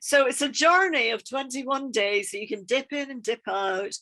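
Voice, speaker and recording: A woman with a Scottish accent, bright and sharp in tone, lively in intonation and fairly slow in pace, over a quiet background. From Scotland. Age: 50s. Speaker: EFT practitioner and trainer. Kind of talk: podcast interview.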